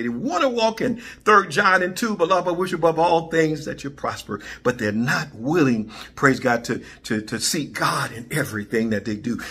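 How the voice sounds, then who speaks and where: With an animated tone and vocal fry, a man talks at a moderate pace and fairly high pitch, his pitch swinging very widely. His tone is bright and sharp, and there are hardly any pauses. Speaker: preacher. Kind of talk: sermon. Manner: animated, call-and-response preaching; exhorting, repeating praise phrases.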